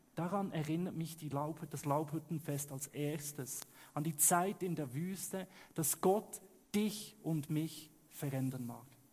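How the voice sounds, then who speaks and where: A man's fairly high voice at a very slow pace, with long, frequent pauses and ordinary pitch variation. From Switzerland. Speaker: pastor. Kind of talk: sermon.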